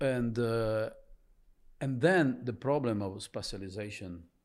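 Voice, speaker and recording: With an Italian accent, a man speaks fairly slowly at a medium pitch, pausing long and often as his loudness swings widely. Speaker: blues musician and business co-founder. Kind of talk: interview.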